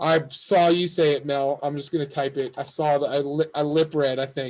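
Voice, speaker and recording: A man with an American accent speaks at a moderate pace in a fairly high pitch. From New York. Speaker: coding instructor. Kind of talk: lecture. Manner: animated.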